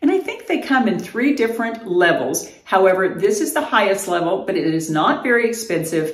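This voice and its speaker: The woman's pace is moderate. Her voice carries an audible room echo. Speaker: fitness vlogger. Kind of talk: casual vlog chat. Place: home room. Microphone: camera far.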